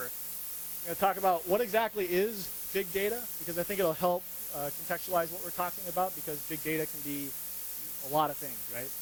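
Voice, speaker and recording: With an American accent, a man speaks at a high pitch and a fairly quick pace, showing ordinary pitch variation against noticeable background noise. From US, rural Montana. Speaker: UX designer, conference speaker. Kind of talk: conference talk. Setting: stage with audience. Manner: loud.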